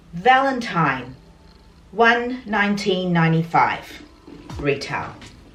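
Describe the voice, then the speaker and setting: Very slow speech with very wide pitch swings carries audible room echo, with music in the background. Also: woman, medium pitch for a woman. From Australia. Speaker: lifestyle vlogger. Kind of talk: casual vlog talk to camera.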